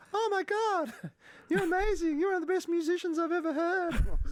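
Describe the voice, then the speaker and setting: An extremely high, squeaky put-on character voice is heard. It moves at a moderate pace. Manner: gushing, girly.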